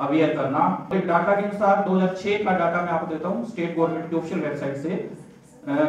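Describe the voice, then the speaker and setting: Room echo is audible, with light background noise underneath. The pitch varies in an ordinary way. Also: man. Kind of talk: formal speech. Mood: earnest road safety appeal. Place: hall.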